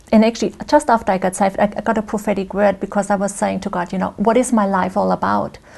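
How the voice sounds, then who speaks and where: Speaking very fast with hardly any pauses, a woman with a German accent keeps her intonation fairly even and shows vocal fry. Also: medium pitch for a woman. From Germany. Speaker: guest speaker sharing faith story. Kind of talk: interview testimony. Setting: studio. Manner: conversational, many fillers.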